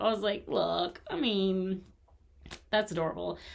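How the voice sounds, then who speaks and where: A woman speaks at a fairly slow pace with lively intonation. The recording is very clean, with a silent background. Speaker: crochet youtuber. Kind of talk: casual haul video. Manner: loud; animated.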